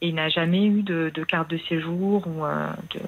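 A woman with a fairly low pitch, a very slow pace and fairly even intonation. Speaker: caller, mother. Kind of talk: personal confession on a radio call-in. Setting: phone call.

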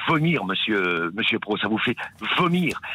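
Speaking at a fairly slow pace, a man with a fairly high pitch is heard against noticeable background noise. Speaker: caller. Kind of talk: phone call, rant about abstention. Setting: phone call. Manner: emphatic, insistent.

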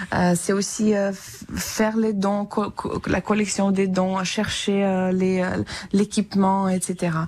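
A woman speaks at a very slow pace, her pitch sitting in the middle range. Her intonation stays monotone and flat. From Ukraine, Vinnytsia. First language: Ukrainian (speaking French). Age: 30s. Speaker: musician and French teacher, war refugee. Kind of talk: radio interview. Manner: halting, with many hesitations.

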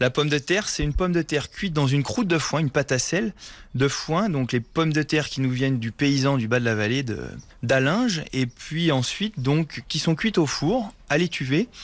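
Against a quiet background, a man with an unremarkable speaking voice talks at a moderate pace, his fairly high pitch carried by lively intonation. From Haute-Savoie (Morzine). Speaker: hotelier restaurateur. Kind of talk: on-site interview.

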